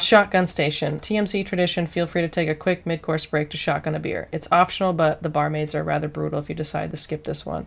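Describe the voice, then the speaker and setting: Soft-spoken, a woman talks at a very fast pace. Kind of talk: reading course obstacle descriptions aloud with comments.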